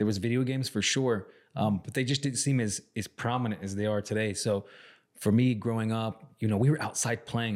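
A man has an unremarkable speaking voice at a medium pitch, with fairly even intonation and a fairly quick pace. The recording is very clean, with a silent background. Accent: American. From Arizona, Salt River reservation. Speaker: podcast co-host. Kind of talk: casual chat.

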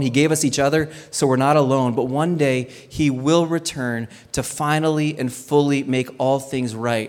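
In an unremarkable speaking voice, a man with fairly high pitch keeps a moderate pace, fairly even intonation and hardly any pauses. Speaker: pastor. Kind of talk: sermon.

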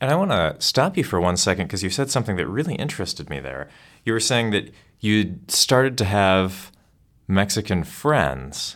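A man talks at a moderate pace in a fairly low voice with vocal fry. His pitch swings very widely. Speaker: podcast host. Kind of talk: scripted intro and interview.

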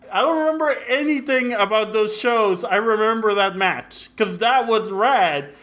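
Despite noticeable background noise, a man with a high voice speaks at a moderate pace with lively intonation, very even loudness and hardly any pauses. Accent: American. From Mexico and Brownsville, Texas (border). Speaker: podcast guest. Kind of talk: casual chat. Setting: call.

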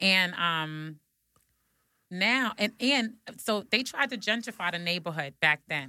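With a New York accent, a woman speaks at a medium pitch and fairly slow pace, her bright, sharp tone carrying lively intonation between long, frequent pauses. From Brooklyn, New York (Bed-Stuy). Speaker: podcast host. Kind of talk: casual chat. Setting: studio.

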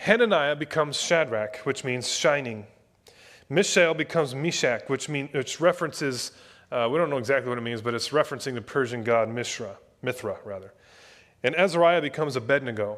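In a very clean recording with a silent background, a man with an ordinary speaking voice talks at a fairly quick pace, fairly high in pitch with ordinary pitch variation. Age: 30s. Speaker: pastor. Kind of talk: sermon. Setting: church.

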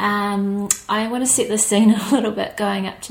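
A woman talks at a fairly slow pace with a New Zealand accent. There is noticeable background noise. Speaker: podcast host. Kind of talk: podcast intro.

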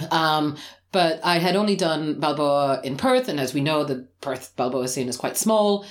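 A woman speaks at a moderate pace with an Australian accent. Her very deep, low pitch carries lively intonation. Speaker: swing dance teacher and podcast co-host. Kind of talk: casual chat. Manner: loud.

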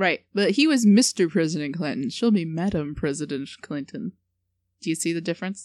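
A plain, everyday voice at a fairly quick pace with lively intonation, in a very clean recording with a silent background. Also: woman, fairly low pitch for a woman. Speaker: podcast co-host. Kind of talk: casual comedic chat.

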